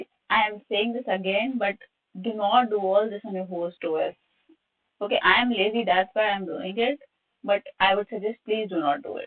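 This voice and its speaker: With a normal speaking voice, a woman talks at a moderate pace and medium pitch with ordinary pitch variation. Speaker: cybersecurity workshop instructor. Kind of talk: live online tutorial.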